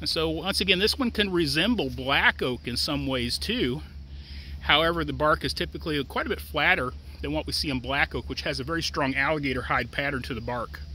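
Against light background noise, a man with an American accent speaks at a fairly quick pace in a dry sound with no echo. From US Midwest. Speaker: extension forester. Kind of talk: educational tutorial. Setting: outdoors. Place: open country.

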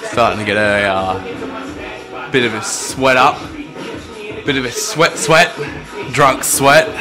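Clear music plays in the background. A man talks over it at a fairly slow pace. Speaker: vlogger. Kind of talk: casual vlog chat.

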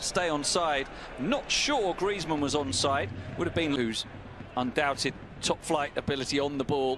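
Someone talks at a moderate pace with noticeable background noise. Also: man. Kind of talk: live football commentary. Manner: analytical, rattling off names and replays.

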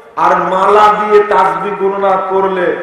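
A man talks with noticeable background noise and audible room echo around him. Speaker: Islamic preacher. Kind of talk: sermon. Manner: emphatic, repetitive.

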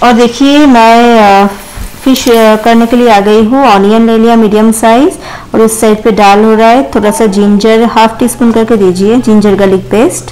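A woman talks at a fairly slow pace with fairly even intonation. Her loudness stays very even. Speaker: food vlogger. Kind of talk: casual vlog chat. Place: kitchen.

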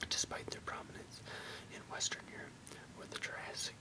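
Whispered words from a man. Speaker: reader of encyclopedia text. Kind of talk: reading aloud. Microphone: webcam.

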